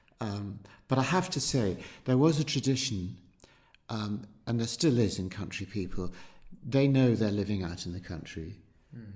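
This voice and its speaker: A man speaks with lively intonation at a moderate pace, sounding somewhat breathy. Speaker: local resident recalling ambulance service and market town. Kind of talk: oral history interview answer. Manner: conversational, thoughtful, hesitant.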